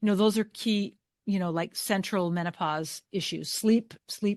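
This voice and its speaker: In a dry, close recording with no echo and a quiet background, a woman talks at a medium pitch with ordinary pitch variation. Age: 60s. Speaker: Chinese medicine practitioner and author. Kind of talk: interview. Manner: halting.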